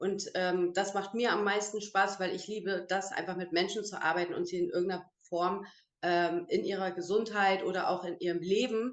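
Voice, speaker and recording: Here a woman uses an ordinary speaking voice at a medium pitch and moderate pace, with fairly even intonation. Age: 30s. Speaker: beautician and network marketer. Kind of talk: online interview. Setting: video call.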